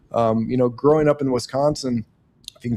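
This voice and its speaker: With a Midwestern US accent, a man speaks at a fairly quick pace and medium pitch. His tone is dark and mellow, his intonation fairly even. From Nebraska. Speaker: podcast host and farmer. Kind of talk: interview. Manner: casual.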